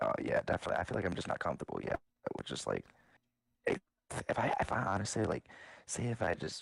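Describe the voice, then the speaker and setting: The man talks at a very fast pace but leaves long, frequent pauses. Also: dry, close sound with no echo. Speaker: podcast co-host. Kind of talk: casual chat. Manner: halting.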